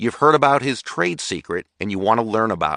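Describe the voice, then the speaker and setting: A man growls through a put-on character voice at medium pitch, moving at a fairly quick pace with lively intonation and big swings in loudness. The sound is dry and close with no echo, over a quiet background. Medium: read story. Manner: cheerful, unruffled.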